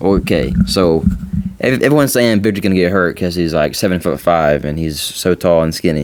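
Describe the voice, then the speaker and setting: Lively in intonation, a man talks at a fairly quick pace with a very deep, low pitch. Noticeable background noise runs underneath. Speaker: podcast guest. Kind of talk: casual chat.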